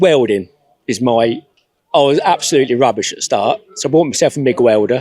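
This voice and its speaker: Speaking with an English Midlands accent, a man uses lively intonation at a medium pitch. He moves at a fairly quick pace. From England, Northampton. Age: 60s. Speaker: classic car owner. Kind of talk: casual interview.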